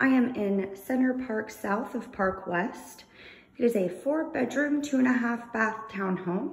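At a fairly slow pace, a woman speaks with ordinary pitch variation. Audible room echo surrounds her voice. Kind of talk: casual walkthrough tour narration. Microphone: phone near.

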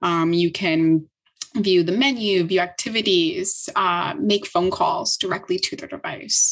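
Her intonation is lively as this woman talks at a fairly slow pace. Little sound rises behind her, leaving a quiet background. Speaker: tech startup co-founder. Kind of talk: interview conversation. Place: home room. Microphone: video call.

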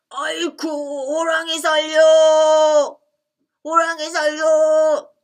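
A woman uses a put-on character voice at an extremely high pitch. She talks at a very slow pace with monotone, flat intonation. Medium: read story. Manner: bossy, greedy, then panicky.

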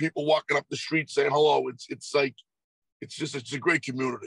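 In a dry sound with no echo and a quiet background, a man speaks at a fairly quick pace with monotone, flat intonation. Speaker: guest. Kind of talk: interview answer. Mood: warm, nostalgic. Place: car. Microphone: video call.

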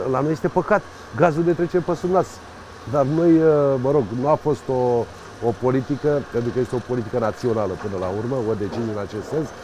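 A man talks at a fairly quick pace with lively intonation and long, frequent pauses over light background noise. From Romania, Buzău county; Romania. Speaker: county council president and candidate; county council president, candidate. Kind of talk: interview. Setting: outdoors by a riverside promenade under construction. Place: waterside.

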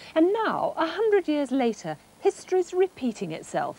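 Against noticeable background noise, a woman talks at a moderate pace in a high voice. Her pitch swings very widely. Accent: British. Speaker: tv science presenter. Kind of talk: 1980s tv science presenter narration. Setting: television studio. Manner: polished, friendly, lightly witty.

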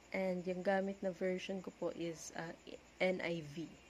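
Very slow speech over light background noise. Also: woman. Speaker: speaker. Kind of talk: casual devotional talk. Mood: calm, gentle. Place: home room. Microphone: phone near.

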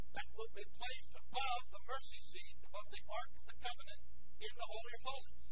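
Loud background noise is present. A man speaks at a moderate pace. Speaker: bible class teacher. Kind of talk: lecture. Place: classroom. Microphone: lapel.

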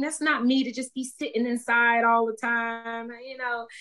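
With an American accent, a woman talks in a high pitch and a bright, sharp tone. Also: quiet background. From US South, Tallahassee, Florida. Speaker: TV news anchor. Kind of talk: casual chat. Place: home room. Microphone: video call.

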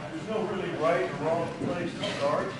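A man speaks at a fairly slow pace. There is audible room echo and loud background noise. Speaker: seminar instructor. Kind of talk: lecture. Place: hall. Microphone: camera far.

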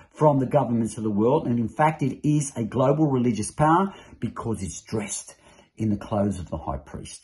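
A man talks at a fairly quick pace with lively intonation. His voice is somewhat breathy over a quiet background. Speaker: religious teacher. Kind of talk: sermon-like teaching. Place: home room. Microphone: phone near.

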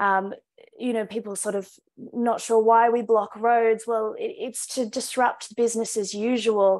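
Over a quiet background, a woman with an Australian accent speaks fairly slowly in a monotone, flat intonation. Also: fairly high pitch for a woman. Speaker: climate activist; panelist. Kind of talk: rally speech; panel discussion answer. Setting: video call. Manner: impassioned, rousing. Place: home room. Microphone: video call.

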